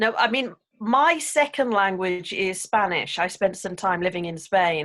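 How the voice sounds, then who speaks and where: A woman's medium-pitched voice with an English accent, lively in intonation, at a fairly slow pace. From England. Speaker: English speaking coach and author. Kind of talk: casual interview chat.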